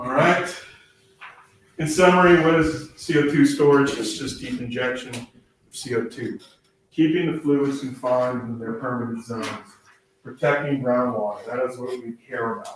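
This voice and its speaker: A man at medium pitch with ordinary pitch variation, big swings in loudness and long, frequent pauses, in audible room echo. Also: moderate pace. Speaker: state regulatory agency presenter. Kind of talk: presentation.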